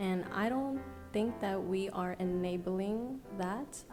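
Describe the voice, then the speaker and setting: Over background music, a soft-spoken woman with an American accent talks at a very slow pace in a passionate tone. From New York City, USA. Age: young. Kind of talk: podcast guest answering in conversation. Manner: soft-spoken, passionate.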